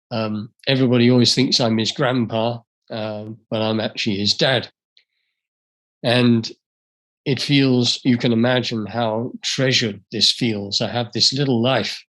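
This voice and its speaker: A man in an English accent, with fairly even intonation and long, frequent pauses. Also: medium pitch for a man, fairly slow pace. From England. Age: 70s. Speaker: speaker and author. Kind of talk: talk to an audience. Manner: halting.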